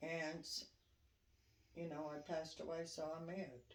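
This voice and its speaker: Audible room echo follows the speech, which moves at a fairly slow pace. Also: woman. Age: 60s. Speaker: interviewee, grandmother. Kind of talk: interview.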